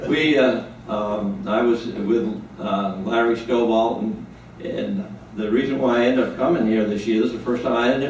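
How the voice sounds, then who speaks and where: In an American accent, the speaker goes at a moderate pace, with audible room echo and noticeable background noise. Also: man. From New England, near Boston. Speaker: Vietnam war veteran. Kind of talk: testimony. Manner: halting.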